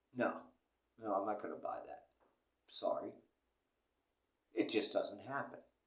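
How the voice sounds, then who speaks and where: A man talks at a moderate pace in an American accent. Room echo is audible. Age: 60s. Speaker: vlogger. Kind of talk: casual monologue. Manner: animated.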